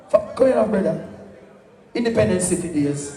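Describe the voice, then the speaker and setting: A man with a high pitch talks at a fairly slow pace, his pitch swinging very widely. Noticeable background noise and audible room echo are present. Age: 70s. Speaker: sound system selector. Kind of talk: live dancehall MC talk. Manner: animated, shouting over music.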